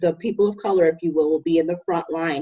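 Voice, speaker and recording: A woman's normal speaking voice, fairly low in pitch with ordinary pitch variation. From US, military family, raised partly in Utica. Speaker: college program director. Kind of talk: casual discussion.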